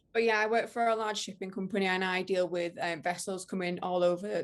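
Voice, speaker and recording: A woman with a strong northern English accent speaks at a fairly quick pace in a flat monotone, her pitch medium, on a very clean recording with a silent background. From northern England, Widnes in Cheshire. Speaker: ship planner and interior design influencer. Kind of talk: podcast interview. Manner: hesitant, many fillers.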